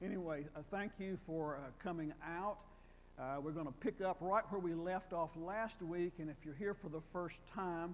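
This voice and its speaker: This man speaks with a North Carolina accent at a high pitch. His pace is moderate and his intonation fairly even. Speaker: retired professor of Old Testament. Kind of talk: lecture. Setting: church hall with audience, wired microphone. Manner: halting, repeats words.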